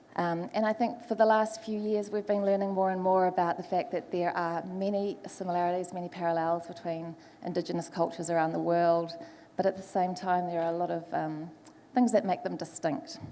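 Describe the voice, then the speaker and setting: A woman with a New Zealand accent talks at a fairly quick pace, her pitch fairly low and her intonation fairly even. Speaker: panel moderator, foresight specialist. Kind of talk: panel moderation. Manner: hesitant, many fillers.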